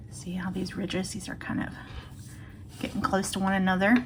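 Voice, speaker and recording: Audible room echo surrounds the voice of a woman as she talks. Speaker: crochet instructor. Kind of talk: tutorial. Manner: casual.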